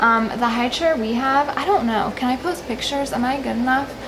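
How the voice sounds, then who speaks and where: A soft-spoken woman talks at a high pitch. Audible room echo and noticeable background noise surround her. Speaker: parenting vlogger. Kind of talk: tutorial.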